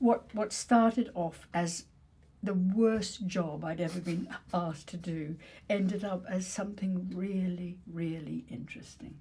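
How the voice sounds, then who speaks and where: Her voice sits at a medium pitch with a dark, mellow tone and a somewhat breathy quality. She speaks at a fairly slow pace with ordinary pitch variation. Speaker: actress. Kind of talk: conversational discussion.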